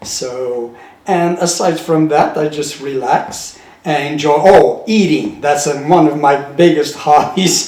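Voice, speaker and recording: Very slow male speech, fairly high in pitch with ordinary variation, plus noticeable background noise and audible room echo. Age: 70s. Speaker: retired bartender. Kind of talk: interview.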